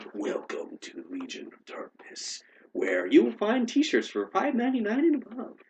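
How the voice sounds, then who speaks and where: Putting on a character voice at an extremely high pitch, a man speaks at a moderate pace. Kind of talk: promotional patter. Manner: happy, shilling.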